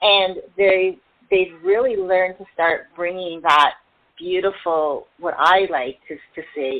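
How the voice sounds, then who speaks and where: At a fairly slow pace, a woman speaks in a plain, everyday voice with a fairly low pitch. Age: 60s. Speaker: self-care coach and motivational speaker. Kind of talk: interview.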